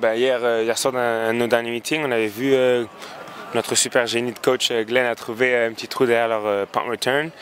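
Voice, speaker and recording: A man with a medium-pitched voice talks at a fairly quick pace. Noticeable background noise runs underneath. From France. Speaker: university football kicker. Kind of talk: post-game interview. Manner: hesitant, many fillers.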